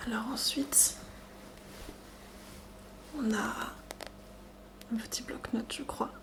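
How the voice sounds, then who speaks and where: Whispering at a very slow pace, a woman speaks in a gentle tone with long, frequent pauses as noticeable background noise carries on behind her. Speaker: ASMR content creator. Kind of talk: ASMR box-opening video, soft-spoken talk to camera. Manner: soft-spoken, gentle.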